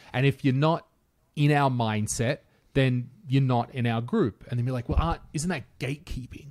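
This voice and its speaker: With an Australian accent, a man speaks at a moderate pace over a quiet background, with ordinary pitch variation. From rural Australia. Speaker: podcast host. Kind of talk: casual chat. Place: home room. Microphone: studio mic.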